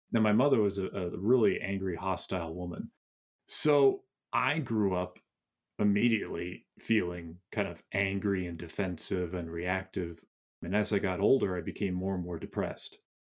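With an American accent, a man uses a plain, everyday voice at a fairly low pitch, speaking at a moderate pace with ordinary pitch variation. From US Northeast (Massachusetts suburb). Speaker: author and meditation teacher. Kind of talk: interview.

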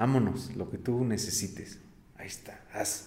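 A somewhat breathy man's voice with audible room echo. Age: 30s. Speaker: coffee roaster and business owner. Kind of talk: interview. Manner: halting, many fillers and repetitions.

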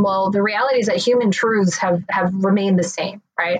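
A woman's ordinary speaking voice at medium pitch, with fairly even intonation and a moderate pace. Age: 30s. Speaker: marketing executive. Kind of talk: interview.

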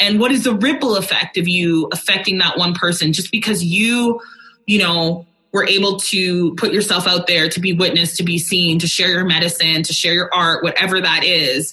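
A woman with a Canadian accent talks in an ordinary speaking voice at a medium pitch and moderate pace. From Alberta, Canada. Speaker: country singer. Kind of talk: casual chat.

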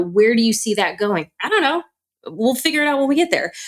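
A woman speaks with ordinary pitch variation. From US Midwest, Chicago area. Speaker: moving and life coach. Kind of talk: interview chat.

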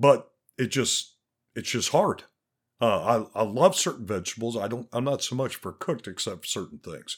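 A man talks at a moderate pace with vocal fry. The recording is very clean, with a silent background. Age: 50s. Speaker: podcast host. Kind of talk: casual solo monologue with profanity. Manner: casual, candid, profane.

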